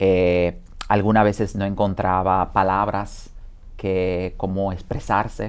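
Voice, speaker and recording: A man talks at a very slow pace. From Dominican Republic. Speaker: home care business owner and former caregiver; interview guest. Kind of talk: interview. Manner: hesitant, many fillers. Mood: reflective, somber. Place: studio. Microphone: lapel.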